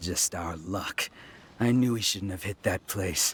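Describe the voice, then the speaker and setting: A man uses a put-on character voice, very deep, low and raspy. He speaks at a fairly slow pace with ordinary pitch variation. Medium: video game. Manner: swaggering, boastful.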